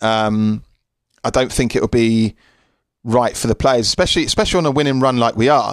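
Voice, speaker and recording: A man with a British accent speaks at a medium pitch and a moderate pace. The sound is dry and close, with no echo. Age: 30s. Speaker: sports podcast host. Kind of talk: solo podcast monologue. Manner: halting.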